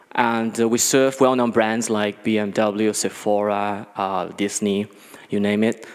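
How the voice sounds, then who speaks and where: Speech comes at a fairly slow pace with a Chinese accent. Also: man. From China. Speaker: business executive. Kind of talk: conference talk. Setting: stage with audience. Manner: halting, many fillers.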